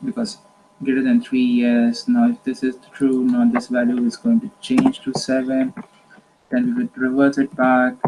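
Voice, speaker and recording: The pace is moderate. Noticeable background noise can be heard. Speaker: teacher explaining an algorithm. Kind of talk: tutorial.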